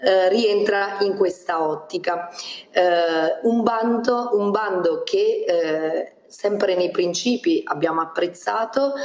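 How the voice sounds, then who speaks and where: Against noticeable background noise, a woman with a medium pitch speaks at a very slow pace with very even loudness and ordinary pitch variation. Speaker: regional councillor. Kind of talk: political interview. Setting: video call. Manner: formal.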